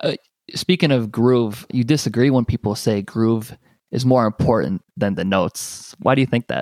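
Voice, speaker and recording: A man's unremarkable speaking voice at medium pitch, with ordinary pitch variation and a moderate pace, dry and close with no echo. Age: 20s. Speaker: podcast host. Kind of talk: interview.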